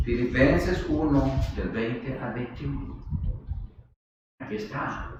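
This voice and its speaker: A man talks very slowly, pausing long and often. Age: 70s. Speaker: preacher. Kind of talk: sermon.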